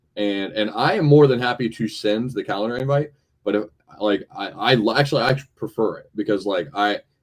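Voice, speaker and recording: Talking fairly quickly with an American accent, a man uses ordinary pitch variation. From Florida. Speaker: university athletics administrator. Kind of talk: interview. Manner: halting, many repetitions.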